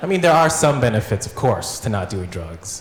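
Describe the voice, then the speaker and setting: A man's voice amid noticeable background noise. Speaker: stand-up comedian. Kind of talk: stand-up comedy set. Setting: live stage with audience.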